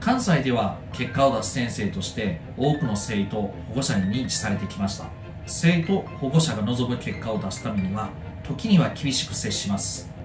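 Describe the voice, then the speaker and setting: A man at a moderate pace, lively intonation over clear music in the background. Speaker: tutor. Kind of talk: self-introduction promo to camera. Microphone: phone near.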